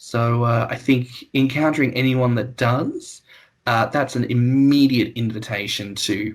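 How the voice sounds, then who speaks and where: A man with an Australian accent speaks at a very slow pace in a medium pitch. His voice is somewhat breathy, with monotone, flat intonation. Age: 20s. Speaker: podcast host. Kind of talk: casual chat.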